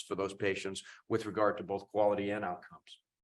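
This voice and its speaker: At a very fast pace, a man with an American accent speaks against a quiet background. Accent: Boston accent, comes out over time. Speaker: cardiologist, professor of medicine. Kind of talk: conference talk. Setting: symposium stage with audience.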